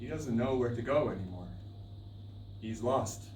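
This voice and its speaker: A man's pitch varies in an ordinary way. Noticeable background noise runs under his speech. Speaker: storyteller. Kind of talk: live storytelling performance. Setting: live stage performance.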